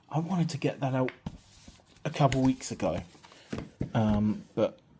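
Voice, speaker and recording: Noticeable background noise runs throughout. The talking holds a moderate pace. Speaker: tabletop gaming youtuber. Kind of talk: unboxing video.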